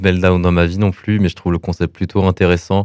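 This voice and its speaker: Recorded very cleanly with a silent background and a dry, close sound with no echo, a man talks at a moderate pace in a very deep, low pitch. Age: 20s. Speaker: former professional esports player. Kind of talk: interview. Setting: radio studio. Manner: halting.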